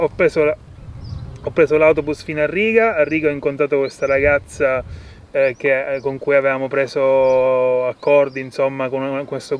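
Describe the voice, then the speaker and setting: This man's voice sits at a fairly high pitch. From Sicily, Italy. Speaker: permaculture farmer. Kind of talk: casual interview. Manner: halting, with fillers and restarts.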